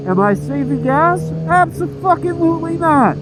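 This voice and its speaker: Audible room echo and noticeable background noise accompany very slow speech. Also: man. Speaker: motovlogger. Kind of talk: casual vlog monologue. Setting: riding a motorcycle outdoors.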